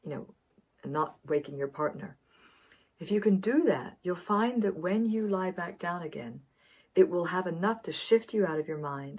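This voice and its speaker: A woman's normal speaking voice, medium in pitch, at a moderate pace with lively intonation. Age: 60s. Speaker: wellness coach. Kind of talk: tutorial.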